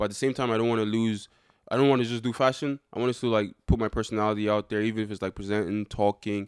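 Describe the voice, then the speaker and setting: Speaking very fast with an animated tone, a man with a fairly low pitch sounds dry and close with no echo, on a very clean recording with a silent background. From Ireland, Dublin (born in Nigeria, left at about three). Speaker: reality TV contestant. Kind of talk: casual chat. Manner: animated, joking.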